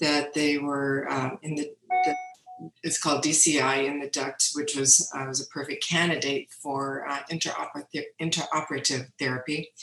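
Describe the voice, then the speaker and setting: With music in the background, a woman speaks at a moderate pace. Her very deep, low-pitched voice stays monotone and flat. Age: 60s. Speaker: breast cancer patient. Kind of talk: testimony.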